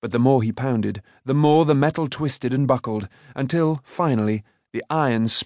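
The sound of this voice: In an unforced reading voice with ordinary pitch variation, someone reads against a quiet background.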